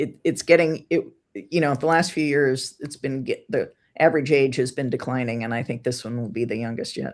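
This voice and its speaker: At a fairly quick pace, a woman with a very deep, low pitch speaks with ordinary pitch variation on a very clean recording with a silent background. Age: middle-aged. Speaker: astrologer co-host. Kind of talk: casual chat.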